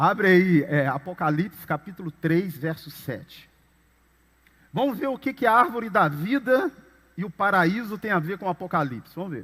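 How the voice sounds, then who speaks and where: At a moderate pace, a man speaks high in pitch with lively intonation. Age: 50s. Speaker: pastor. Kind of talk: sermon.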